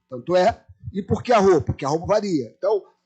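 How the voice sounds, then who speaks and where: A man with a high voice swings very widely in pitch as music plays in the background. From Brazil, Rio de Janeiro (Irajá). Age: 60s. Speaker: anthropologist, panel speaker. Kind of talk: lecture.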